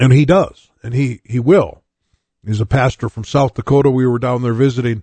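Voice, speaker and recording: In a dry, close recording with no echo, a man with a medium pitch and a dark, mellow tone speaks at a moderate pace, somewhat breathy, his pitch varying in an ordinary way. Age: 60s. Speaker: pastor and radio show host. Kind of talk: radio sermon; casual radio talk. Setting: radio studio, live broadcast.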